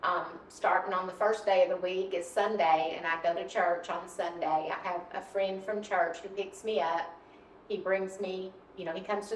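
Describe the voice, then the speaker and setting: Over noticeable background noise, a woman at medium pitch speaks at a moderate pace with monotone, flat intonation. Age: 60s. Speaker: visually impaired applicant for mobility training. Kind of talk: interview answers on video application. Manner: hesitant, frequent um fillers.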